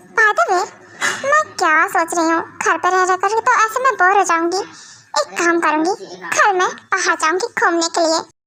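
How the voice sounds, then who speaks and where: Moderately paced, this is a put-on character voice. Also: woman, extremely high pitch for a woman. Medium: fan dub. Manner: chatty, expressive.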